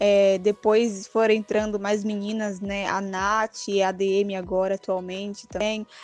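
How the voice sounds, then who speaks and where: A woman speaks fairly slowly in a monotone, flat delivery. She hardly pauses at all. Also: medium pitch for a woman. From Brazil, Bahia (Salvador). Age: 20s. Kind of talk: interview answers.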